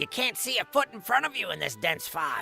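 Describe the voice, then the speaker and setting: Over clear background music, a put-on character voice speaks at a fairly quick pace. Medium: read story.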